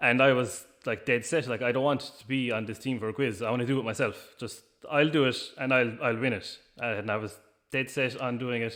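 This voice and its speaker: With an Irish accent, a man speaks at a medium pitch and with fairly even intonation. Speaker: business owner. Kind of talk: interview. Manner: hesitant, many fillers.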